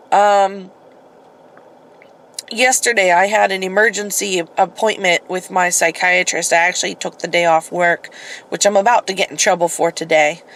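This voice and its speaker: A woman's medium-pitched voice comes through noticeable background noise. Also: moderate pace. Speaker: vlogger. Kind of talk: casual vlog monologue. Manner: hesitant, many fillers.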